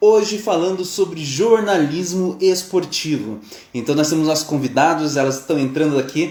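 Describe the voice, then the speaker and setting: Pitched high, this man's voice rises and falls with lively intonation. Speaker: sports psychologist. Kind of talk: live stream host.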